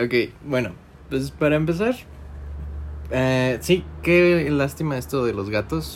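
Speaking at a very slow pace with long, frequent pauses, a man with a medium-pitched voice makes very wide pitch swings. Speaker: podcast host. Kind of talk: casual chat.

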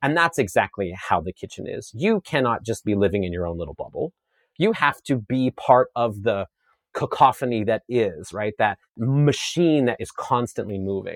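A man speaks at a moderate pace and medium pitch with lively intonation. The recording is very clean with a silent background, dry and close with no echo. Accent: Canadian Prairies. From Saskatchewan, Canada (rural). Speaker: chef and media personality, former dancer. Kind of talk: interview conversation. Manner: animated.

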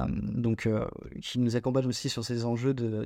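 The voice has a dark, mellow tone and ordinary pitch variation. It moves at a fairly slow pace against a quiet background. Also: man. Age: 20s. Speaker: startup co-founder. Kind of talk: interview.

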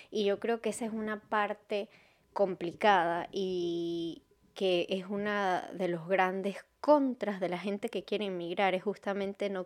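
A woman's medium-pitched voice at a fairly slow pace with fairly even intonation, on a very clean recording with a silent background. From Venezuela. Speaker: podcast host. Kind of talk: solo podcast monologue. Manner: halting.

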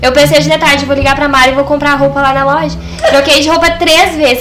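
Someone speaks at a fairly quick pace with ordinary pitch variation, amid noticeable background noise and audible room echo. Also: woman. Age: 20s. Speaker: fashion designer and seamstress. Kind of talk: podcast interview.

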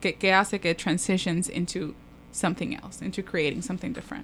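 Her voice is an unremarkable speaking voice, medium in pitch for a woman, with fairly even intonation. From Puerto Rico, Manatí. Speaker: architect, urban studies researcher. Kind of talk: casual chat.

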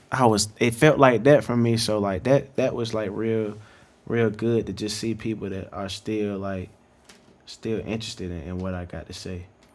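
With an American accent, a man speaks at a moderate pace in a fairly low pitch, with ordinary pitch variation and big swings in loudness, in an unremarkable speaking voice. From North Carolina (Greensboro). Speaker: hip-hop artist and photographer. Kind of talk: casual interview chat.

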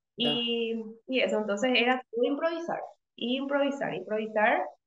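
A woman is speaking. Room echo is audible. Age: 30s. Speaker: physiotherapist. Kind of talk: interview. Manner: halting.

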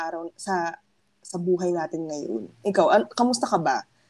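A woman with an unremarkable speaking voice talks at a moderate pace, her medium pitch moving with ordinary variation. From Philippines, Pasig. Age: 20s. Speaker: podcast co-host.

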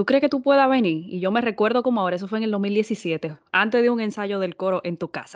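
Speaking at a fairly quick pace with hardly any pauses, a woman sounds animated at a fairly high pitch. Her pitch variation is ordinary, and the sound is dry and close with no echo. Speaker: podcast host. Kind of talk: interview.

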